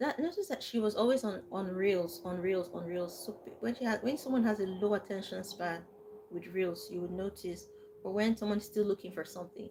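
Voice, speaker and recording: Soft-spoken and calm in tone, a woman talks at a fairly quick pace. Her pitch sits in the medium range. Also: ordinary pitch variation. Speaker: livestream host. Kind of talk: live storytelling to viewers. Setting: live stream.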